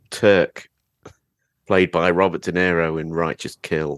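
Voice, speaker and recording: A man's very deep, low voice with an English accent, fairly even intonation and a moderate pace, in a dry, close sound with no echo. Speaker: podcaster guest. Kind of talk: film discussion.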